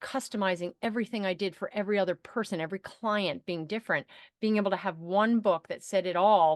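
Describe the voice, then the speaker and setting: The speech moves at a fairly quick pace with ordinary pitch variation. The sound is dry and close with no echo, over a quiet background. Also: woman. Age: 60s. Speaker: entrepreneur and author. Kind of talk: interview. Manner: animated.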